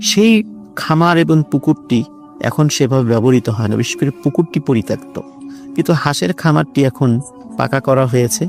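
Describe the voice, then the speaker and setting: A man speaks at a fairly high pitch with lively intonation and very even loudness. Music plays in the background. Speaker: guest storyteller. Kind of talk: horror story narration.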